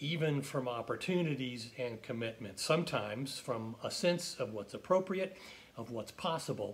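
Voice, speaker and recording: A man speaks at a moderate pace with lively intonation and a fairly high pitch. His voice is somewhat breathy. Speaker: pastor. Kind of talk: sermon-style devotional reflection. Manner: calm, measured.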